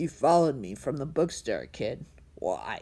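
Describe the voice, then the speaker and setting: A soft-spoken, hissing put-on character voice from a woman, very deep and low in pitch, at a moderate pace. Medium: read story. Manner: condescending, menacing.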